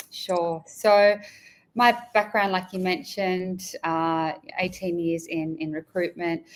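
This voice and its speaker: On a very clean recording with a silent background, a woman with an Australian accent speaks very slowly at a medium pitch with fairly even intonation. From rural Australia. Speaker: executive recruiter. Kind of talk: interview.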